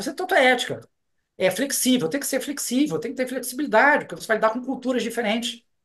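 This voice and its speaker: The delivery is animated in tone and very fast in pace. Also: man. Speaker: customs and foreign trade law professor and consultant. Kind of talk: interview.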